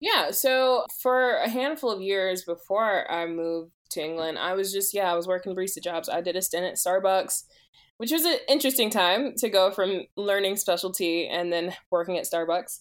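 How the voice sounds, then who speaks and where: A normal speaking voice from a woman with an American accent, medium pitch, ordinary pitch variation and a moderate pace, in a very clean recording with a silent background. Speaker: coffee consultant. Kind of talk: interview conversation.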